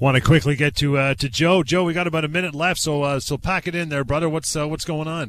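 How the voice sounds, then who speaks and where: A man with a Canadian accent talks at a very fast pace with hardly any pauses. His pitch is fairly high and his intonation fairly even. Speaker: radio host. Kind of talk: radio talk show. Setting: studio.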